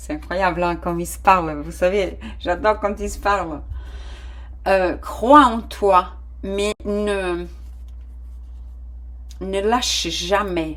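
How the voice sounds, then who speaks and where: Speaking at a very slow pace with long, frequent pauses, the voice carries a non-native accent. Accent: foreign-accented French. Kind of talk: warm, conversational.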